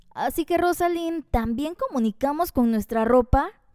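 A woman's high, animated voice with lively intonation, at a fairly slow pace, in a dry, close recording with no echo. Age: 20s. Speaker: podcast host, communication tips. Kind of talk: solo podcast monologue.

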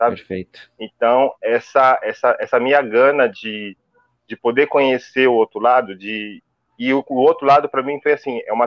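A man talks at a moderate pace and a medium pitch. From São Paulo, Brazil (Itaquera, east side). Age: 30s. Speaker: physical education professional. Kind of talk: live-stream interview. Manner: halting, repetitive.

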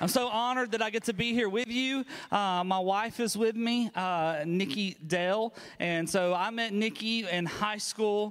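A man's high voice in a Southern US accent, fairly slow in pace and very even in loudness. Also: ordinary pitch variation. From US South, Alabama. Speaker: pastor. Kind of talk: sermon. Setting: church. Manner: animated.

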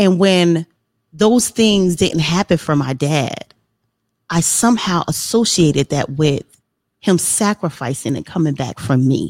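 Here is a woman with a normal speaking voice and fairly low pitch. She talks at a fairly slow pace with lively intonation, in a dry, close sound with no echo. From New Jersey, Trenton. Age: 40s. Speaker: motivational speaker and author. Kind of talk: casual interview.

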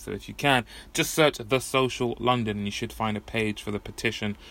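In an English accent, a man talks at a fairly quick pace and a medium pitch, with fairly even intonation. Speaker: podcast host. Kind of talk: solo monologue. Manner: casual, rambling.

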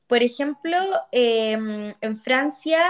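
A woman's high-pitched voice with ordinary pitch variation, at a very slow pace. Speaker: podcast co-host. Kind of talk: casual chat.

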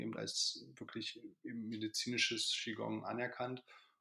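A man is talking here. The background is silent and the recording very clean. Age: 30s. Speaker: qigong teacher. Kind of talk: casual chat.

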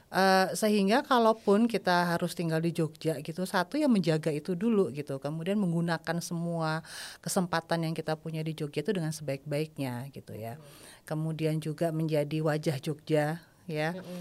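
In a normal speaking voice, a woman with a fairly low pitch talks at a moderate pace with big swings in loudness, captured on a very clean recording with a silent background. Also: ordinary pitch variation, hardly any pauses. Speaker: podcast guest. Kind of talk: casual chat.

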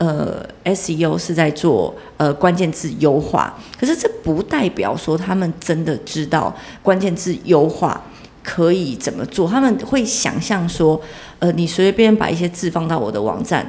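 A woman with a Taiwanese accent speaks at a fairly slow pace. Her pitch is fairly low and her intonation lively. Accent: Taiwanese Mandarin. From southern Taiwan, Chiayi. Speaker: digital marketing entrepreneur. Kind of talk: casual interview. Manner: energetic.

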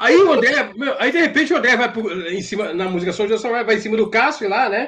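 Pitched extremely high, a man speaks at a fairly quick pace with lively intonation. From São Paulo, Brazil. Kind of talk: storytelling.

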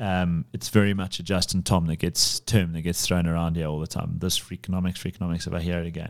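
In a South African accent, a man with a very deep, low voice talks very fast with fairly even intonation, on a very clean recording with a silent background. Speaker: podcast host, property firm CEO. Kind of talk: casual business chat.

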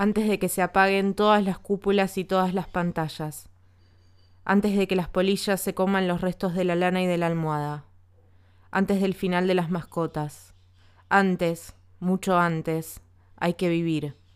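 On a very clean recording with a silent background, a woman talks at a fairly slow pace in a monotone, flat intonation. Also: medium pitch for a woman. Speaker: podcast narrator. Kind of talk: literary essay reading, solemn and incantatory. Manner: measured, rhythmic, building through the long chain of 'antes' clauses.

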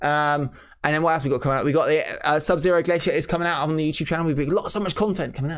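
This man has a fairly high pitch and ordinary pitch variation. He talks at a very fast pace. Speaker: wrestling podcast host. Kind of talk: casual banter, wrestling discussion.

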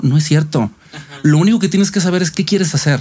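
The voice moves at a very fast pace with ordinary pitch variation, set against noticeable background noise. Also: man. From Mexico, Monterrey. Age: 40s. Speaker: actor. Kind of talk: interview, life story. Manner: hesitant, many fillers and repetitions.

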